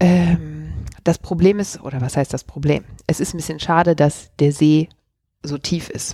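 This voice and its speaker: In a dark, mellow tone, a woman speaks with a very deep, low pitch. Her pace is fairly slow and her intonation fairly even. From Germany, Cologne. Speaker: sailor and YouTuber. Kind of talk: casual chat. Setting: at her home.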